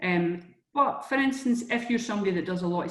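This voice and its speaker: Delivery is fairly quick, with lively intonation. The speaker has a strong Scottish accent. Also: woman. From Scotland, Edinburgh. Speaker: career coach. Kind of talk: webinar presentation. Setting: online webinar. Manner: conversational, with fillers and restarts.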